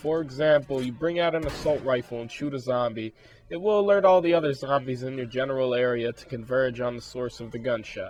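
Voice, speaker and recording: Music plays in the background as a man talks. His medium-pitched voice has ordinary pitch variation and a fairly quick pace. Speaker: game reviewer. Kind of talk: video game review voiceover.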